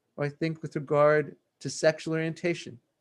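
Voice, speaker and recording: A man talks at a moderate pace in a plain, everyday voice. His pitch sits fairly high. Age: 60s. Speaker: law professor. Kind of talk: keynote lecture. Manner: formal.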